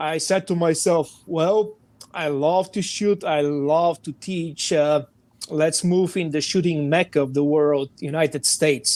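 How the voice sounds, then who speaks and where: Speaking at a very slow pace, a man uses fairly even intonation. His pitch is fairly high, and he talks with a Bulgarian accent. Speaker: firearms training director. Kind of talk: podcast interview.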